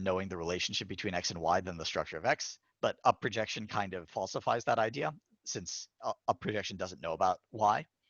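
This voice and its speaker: A man talks at a fairly quick pace in a fairly low pitch, with ordinary pitch variation. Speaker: AI researcher. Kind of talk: lecture. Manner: fast.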